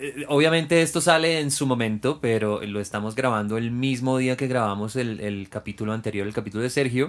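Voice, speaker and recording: Fairly quick and with hardly any pauses, a man talks at a medium pitch in an ordinary speaking voice with ordinary pitch variation. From Venezuela. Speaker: podcast host, flight attendant. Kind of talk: interview.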